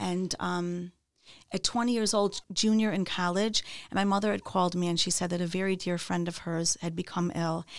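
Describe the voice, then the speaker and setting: Fairly even in intonation, a woman with an American accent talks at a moderate pace and fairly low pitch on a very clean recording with a silent background. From Chicago North Shore suburbs. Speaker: women's outreach educator. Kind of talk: interview conversation. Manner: halting, many fillers and repeats.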